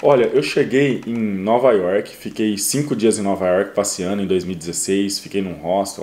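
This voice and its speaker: At a moderate pace, a man speaks in a dark, mellow tone with fairly low pitch and ordinary pitch variation. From Brazil, interior of São Paulo state. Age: 30s. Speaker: delivery driver and YouTuber. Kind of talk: casual interview. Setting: at host's home.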